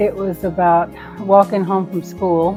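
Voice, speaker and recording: Music plays in the background. A woman speaks at a fairly slow pace with fairly even intonation. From Midland, Texas. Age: 60s. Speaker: grandmother. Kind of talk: interview answer.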